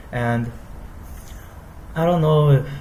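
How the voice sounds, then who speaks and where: A man speaks with an American accent. Some room echo can be heard. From US. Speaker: university student. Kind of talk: class presentation. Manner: halting.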